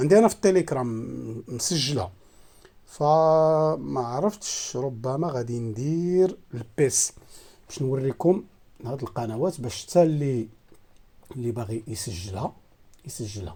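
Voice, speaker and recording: With a Moroccan accent, a man at a medium pitch talks at a fairly slow pace, using lively intonation, big swings in loudness and a dark, mellow tone. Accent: Moroccan Arabic (Darija). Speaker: satellite receiver tech youtuber. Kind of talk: tutorial. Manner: halting, many fillers.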